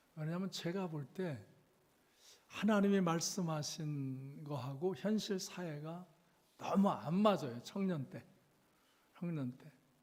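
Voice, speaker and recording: A man's high-pitched voice at a very slow pace, with big swings in loudness, ordinary pitch variation and audible room echo. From South Korea, Chungcheong (Cheonan). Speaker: revival preacher. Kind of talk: sermon. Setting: church. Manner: slow speech; halting.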